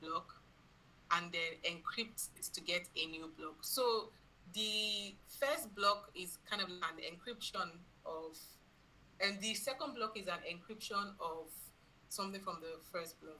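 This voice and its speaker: A woman with a bright, sharp tone and medium pitch speaks at a fairly slow pace with ordinary pitch variation, big swings in loudness, long, frequent pauses and audible room echo. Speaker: blockchain bootcamp instructor. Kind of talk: online lecture. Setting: video call with screen share.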